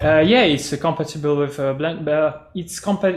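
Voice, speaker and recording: Noticeable background noise accompanies a man whose voice sits fairly high. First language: not English. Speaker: metaverse project presenter. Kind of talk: video call presentation Q&A. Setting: video call. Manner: halting, many fillers.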